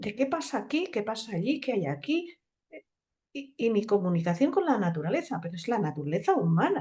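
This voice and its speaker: Her voice is somewhat breathy, with a dark, mellow tone. The woman's loudness swings widely, and her pitch swings very widely. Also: fairly high pitch for a woman, fairly quick pace. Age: 60s. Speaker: naturopath. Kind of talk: conference talk.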